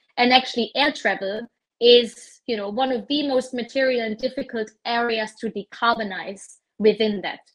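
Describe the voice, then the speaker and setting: A German accent comes through with fairly even intonation. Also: woman, fairly high pitch for a woman, moderate pace. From southern rural Germany. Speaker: corporate sustainability director. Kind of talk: interview.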